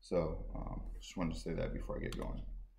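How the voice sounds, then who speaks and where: Someone speaks at a very fast pace amid light background noise and audible room echo. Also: man. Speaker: guest. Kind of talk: public talk. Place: hall. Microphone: lapel.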